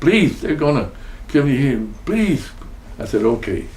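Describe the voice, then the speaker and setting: With a Spanish accent, a man talks in a somewhat breathy voice with lively intonation, and the room echo is audible. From Texas. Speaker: war veteran. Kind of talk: oral history interview. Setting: at his home.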